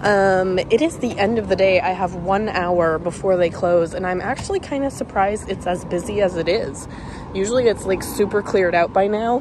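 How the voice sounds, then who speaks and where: A woman's medium-pitched voice at a moderate pace, with ordinary pitch variation and noticeable background noise. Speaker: reseller. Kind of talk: casual thrift vlog narration.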